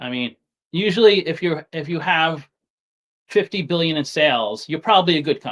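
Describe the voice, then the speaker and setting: A man is speaking in an American accent. His voice is fairly high. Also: dry, close sound with no echo. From Staten Island, New York City. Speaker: stock market streamer. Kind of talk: casual live stream chat. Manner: halting, many fillers and restarts.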